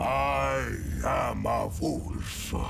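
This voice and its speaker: Over loud background noise, a man performs a put-on character voice. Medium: machinima. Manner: gruff, boastful, laughing.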